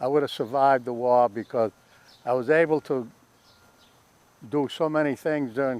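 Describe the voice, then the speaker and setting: This man has a Boston accent, a medium pitch and fairly even intonation. He talks at a moderate pace, and the sound is dry and close with no echo. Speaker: war veteran. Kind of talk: oral history interview. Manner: halting.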